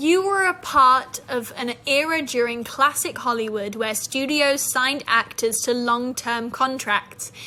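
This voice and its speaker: A woman's raised, projected voice with a British accent, high in pitch with ordinary variation, at a very slow pace with big swings in loudness. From Britain. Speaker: actress. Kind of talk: interview questions.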